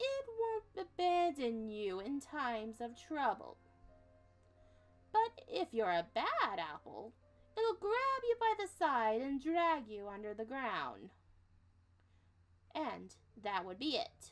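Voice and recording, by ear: Over faint background music, a woman uses a high-pitched put-on character voice at a fairly slow pace.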